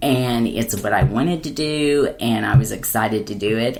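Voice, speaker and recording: Audible room echo surrounds a woman speaking at a fairly slow pace in a very deep, low voice with lively intonation. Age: 70s. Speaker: hospice community liaison. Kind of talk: interview.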